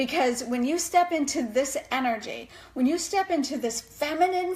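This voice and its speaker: A woman speaks with an animated tone and lively intonation at a fairly slow pace. Noticeable background noise runs underneath. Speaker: life coach. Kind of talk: live video talk.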